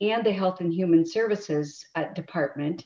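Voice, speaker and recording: A woman's fairly low voice at a moderate pace. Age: 60s. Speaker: county commissioner. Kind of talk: public meeting testimony. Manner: halting, many repetitions.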